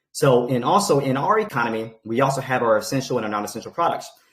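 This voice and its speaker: On a very clean recording with a silent background, a man speaks at a medium pitch with lively intonation and a somewhat breathy sound. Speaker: crypto project presenter. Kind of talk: presentation on a group call. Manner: fast.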